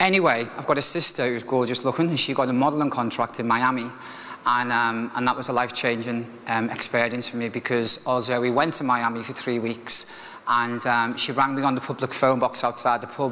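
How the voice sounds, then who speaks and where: Noticeable background noise sits behind a man speaking at a fairly quick pace. His pitch is medium and his intonation fairly even. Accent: Liverpool. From Liverpool, northern England. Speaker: motivational speaker, restaurant manager. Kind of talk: keynote speech, personal story. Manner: casual, conversational with fillers.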